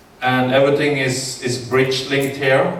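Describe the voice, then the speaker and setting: A man's speech carries audible room echo, with noticeable noise behind it. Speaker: engineering consultant. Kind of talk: conference presentation. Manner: slow, with many fillers.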